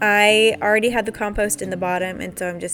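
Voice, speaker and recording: Over music in the background, a woman talks at a fairly quick pace with fairly even intonation. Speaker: lifestyle vlogger. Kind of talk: casual vlog narration. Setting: outdoors in garden. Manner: talking quietly.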